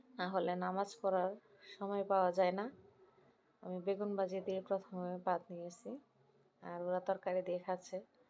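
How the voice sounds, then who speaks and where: A dark, mellow tone pairs with monotone, flat intonation in this voice. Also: woman, medium pitch for a woman. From Bangladesh, Brahmanbaria. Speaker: homemaker vlogger. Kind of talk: casual vlog narration.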